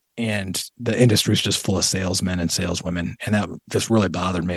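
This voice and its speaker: A man talks at a very fast pace in an American accent. His pitch is very deep and low. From Toledo, Ohio. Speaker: retirement coach and army veteran. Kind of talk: casual interview.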